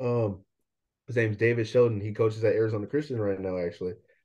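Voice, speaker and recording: This man has an American accent and a medium pitch, with a dark, mellow tone. His voice is somewhat breathy, and the background is quiet. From Bay Area, Northern California. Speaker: college football player. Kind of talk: interview.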